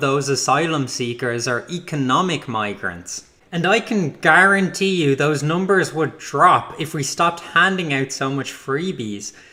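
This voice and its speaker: An Irish accent carries this man's lively intonation as he talks at a moderate pace with hardly any pauses. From Ireland. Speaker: political commentator. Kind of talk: scripted narration.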